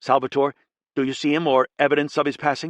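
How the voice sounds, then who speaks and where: In a put-on character voice, a man rattles along at a very fast pace, fairly high-pitched and monotone with flat intonation, over a quiet background. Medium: read story. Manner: terse, clipped.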